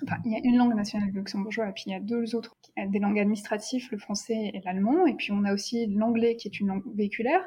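The voice is somewhat breathy, with fairly even intonation. The pace is very fast. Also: woman, fairly high pitch for a woman. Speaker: doctoral researcher in neuroeducation. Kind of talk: interview conversation. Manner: hesitant, many fillers and repetitions.

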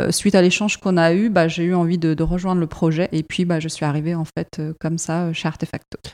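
A woman's dark, mellow tone with a slight non-native accent. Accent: barely noticeable foreign. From Iraq, left at 7, raised in Europe. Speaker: marketing manager. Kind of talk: interview. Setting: company premises.

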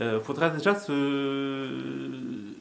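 A man speaks with a fairly high pitch. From Corsica. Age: 40s. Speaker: first-time radio columnist, writer. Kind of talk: radio column.

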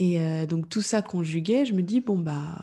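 Her tone is dark and mellow, and this woman speaks at a very slow pace. Her pitch variation is ordinary. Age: 30s. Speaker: entrepreneur in podcast communication. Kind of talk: interview. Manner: calm, composed.

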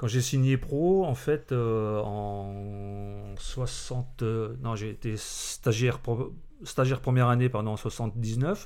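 A man with a medium pitch and ordinary pitch variation speaks at a very slow pace. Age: 50s. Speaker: former professional footballer, now grounds caretaker. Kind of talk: casual podcast interview. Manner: halting, repeats words.

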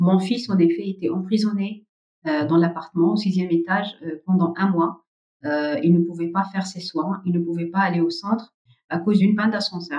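Somewhat breathy and dark, mellow in tone, a woman's medium-pitched voice moves at a moderate pace with fairly even intonation. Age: 40s. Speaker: family caregiver and nonprofit site manager. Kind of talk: interview testimony. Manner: hesitant, with frequent fillers.

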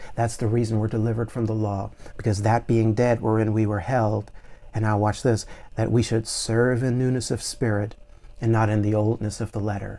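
A man's medium-pitched voice, dark and mellow in tone, fairly quick, with monotone, flat intonation. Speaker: preacher. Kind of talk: sermon. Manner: fervent.

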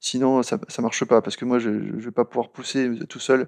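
The recording is dry and close, with no echo. A man speaks at a medium pitch and moderate pace. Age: 40s. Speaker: software architecture manager. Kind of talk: interview. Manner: hesitant, many fillers.

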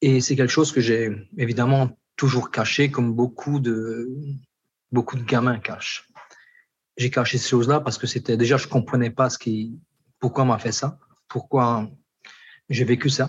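Somewhat breathy and fairly slow, a man at medium pitch speaks in a monotone, flat intonation with long, frequent pauses. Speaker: pastor. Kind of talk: testimony.

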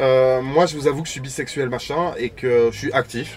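An ordinary speaking voice at a moderate pace, with fairly even intonation. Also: man. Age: 30s. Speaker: sex and relationships influencer. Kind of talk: casual chat. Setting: outdoors in a van at a party.

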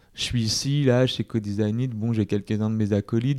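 A man's dark, mellow voice at a moderate pace, on a very clean recording with a silent background. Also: dry, close sound with no echo. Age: 30s. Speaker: entrepreneur. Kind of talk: casual chat. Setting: office premises in Paris.

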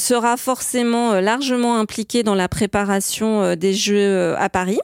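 A woman's fairly high voice with fairly even intonation, dry and close with no echo. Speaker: marketing and communications director. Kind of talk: radio interview. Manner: at ease at the mic; hesitant, frequent repetitions.

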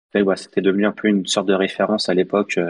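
A man with a very deep, low pitch. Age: 30s. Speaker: product manager of a software plugin. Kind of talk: interview.

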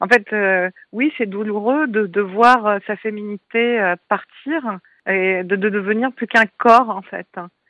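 This is a woman speaking. Her pitch is medium. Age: 40s. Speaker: artist and breast cancer survivor. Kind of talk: interview testimony. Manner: hesitant, many fillers.

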